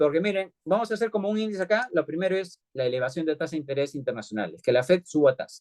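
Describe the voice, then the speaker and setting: Recorded with a dry, close sound and no echo, a man speaks in a high pitch with lively intonation. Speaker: economist, lecturer. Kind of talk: lecture. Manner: fast; halting, many fillers.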